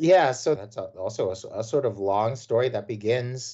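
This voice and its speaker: A man with a Mid-Atlantic American accent speaks at a moderate pace in a somewhat breathy voice, his pitch rising and falling in the ordinary way. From Washington, D.C. area (Silver Spring, Maryland). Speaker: professor of American studies. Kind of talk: casual interview.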